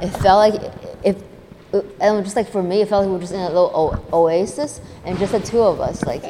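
Against noticeable background noise, a woman with an American accent speaks at medium pitch with ordinary pitch variation. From US Northeast. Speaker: podcast host. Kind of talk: casual interview. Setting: event venue. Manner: animated.

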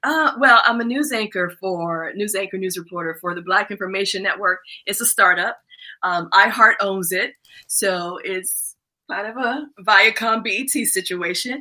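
A woman's bright, sharp voice at medium pitch. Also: ordinary pitch variation, fairly slow pace. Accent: American. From Washington DC. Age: 50s. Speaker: former TV news anchor. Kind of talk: casual interview. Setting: live-streamed video call.

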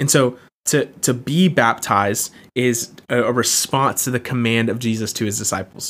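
Delivered at a moderate pace, a normal speaking voice carries ordinary pitch variation. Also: man, medium pitch for a man. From Florida, US South (Jacksonville). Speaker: campus ministry staff, podcast host. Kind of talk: teaching talk. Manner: casual, with many fillers.

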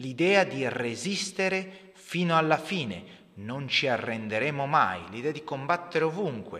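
In a solemn tone, a man with a fairly high pitch speaks at a fairly slow pace with hardly any pauses. His pitch swings very widely. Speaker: history podcaster. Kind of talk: podcast history narration with a read-out wartime speech, in Italian translation. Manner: solemn, rhetorical, rousing delivery in the speech passage; measured, explanatory, with some hesitations.

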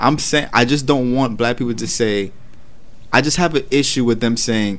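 A man with a New York accent, ordinary pitch variation, a moderate pace and audible room echo. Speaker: podcast co-host. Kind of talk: casual chat. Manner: loud.

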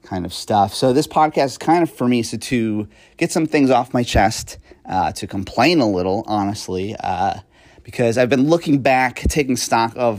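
In a very clean recording with a silent background, a man speaks in a normal speaking voice with lively intonation. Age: 30s. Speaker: podcast host. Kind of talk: casual monologue. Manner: frequent fillers and laughs.

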